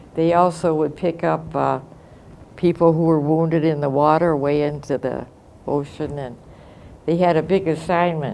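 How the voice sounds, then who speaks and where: The voice has an American accent and a dark, mellow tone, with monotone, flat intonation at a moderate pace. Long, frequent pauses break it up, and room echo is audible. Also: woman, very deep, low pitch for a woman. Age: 90s. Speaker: war-era eyewitness. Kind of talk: testimony. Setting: classroom. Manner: halting.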